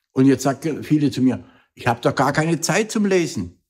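Against a quiet background, a man speaks at a moderate pace and sounds somewhat breathy. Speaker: motivational speaker. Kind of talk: motivational vlog talk. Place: home room.

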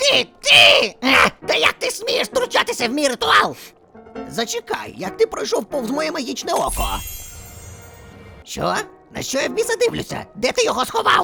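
With faint music in the background, a woman uses a put-on character voice at an extremely high pitch. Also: moderate pace. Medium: fan dub. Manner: brash, crude, shouting.

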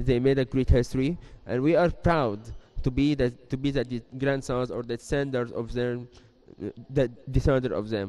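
A man with an Arabic accent speaks at a moderate pace in a dark, mellow tone, keeping his intonation fairly even. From Egypt. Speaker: student initiative member. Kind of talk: TV interview. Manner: halting. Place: studio. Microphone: handheld.

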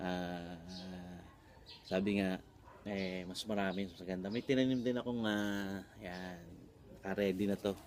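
Fairly slow delivery with fairly even intonation. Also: man. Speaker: vlogger and voice coach. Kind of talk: casual vlog tutorial. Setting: outdoors in a garden.

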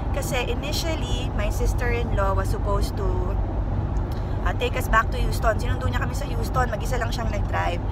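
A woman at a fairly quick pace over loud background noise. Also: dry sound with no echo. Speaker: family travel vlogger. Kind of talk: casual vlog chat. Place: car. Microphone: phone near.

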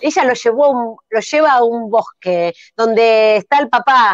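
In a Rioplatense accent, a woman speaks at a fairly slow pace, the sound dry with no echo and the background quiet. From Argentina. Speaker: improv comedian. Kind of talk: improvised comedy narration. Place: home room. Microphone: video call.

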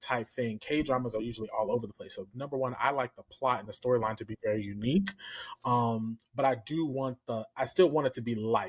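A man's fairly quick, fairly even-toned speech against a quiet background. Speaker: podcast co-host. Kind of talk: casual podcast chat. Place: home room.

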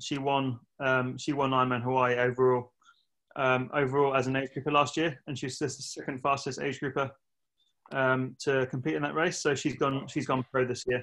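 A man with an English accent, a bright, sharp tone, monotone, flat intonation and a moderate pace. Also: quiet background. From England. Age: 30s. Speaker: retired professional triathlete; coach interviewed. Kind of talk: casual interview. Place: home room. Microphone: video call.

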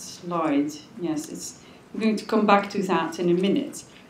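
At a moderate pace, a woman speaks with lively intonation, her voice picking up audible room echo amid light background noise. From Belgium. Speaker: coastal management official, lecturer; lecturer. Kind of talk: lecture. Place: hall.

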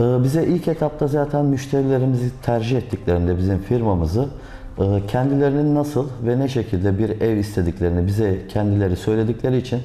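A man speaks at a moderate pace with ordinary pitch variation, and audible room echo surrounds his voice. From Aegean Turkey. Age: 30s. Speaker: real estate agent. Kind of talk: interview. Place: office.

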